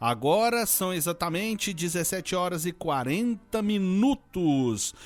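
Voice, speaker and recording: There is music in the background as a man speaks. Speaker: radio presenter. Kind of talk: live radio show presenting.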